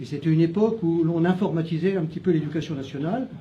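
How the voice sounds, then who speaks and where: A man talks at a moderate pace in a high pitch with ordinary pitch variation. Room echo is audible. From France, Châlons-en-Champagne (Champagne). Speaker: retired teacher, municipal candidate. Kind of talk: candidate self-introduction. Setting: restaurant, live event. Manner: halting, many hesitations.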